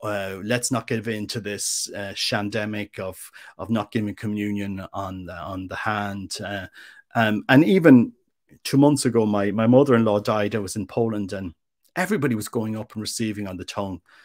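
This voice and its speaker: A man with an Irish accent talks at a moderate pace in a fairly low pitch, his intonation fairly even. His loudness swings widely on a very clean recording with a silent background. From Ireland. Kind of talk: interview. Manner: halting, with frequent repetitions.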